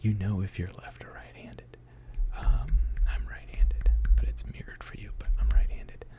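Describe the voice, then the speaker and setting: Everything is whispered. The speed stays moderate. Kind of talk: ASMR casual hangout talk. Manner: whispered, soft-spoken.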